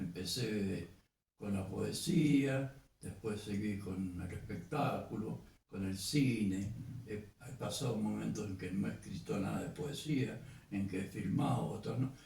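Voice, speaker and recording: Speaking very slowly in a Cuyo Argentine accent, a man uses ordinary pitch variation while audible room echo surrounds him. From Argentina, Mendoza. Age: 80s+. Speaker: poet and filmmaker. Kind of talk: interview.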